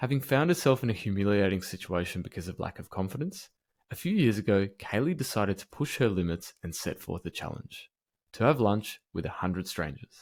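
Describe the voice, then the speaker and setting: A man's fairly low voice with lively intonation, in an Australian accent at a fairly quick pace, in a very clean recording with a silent background. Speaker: podcast host. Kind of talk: scripted intro; interview.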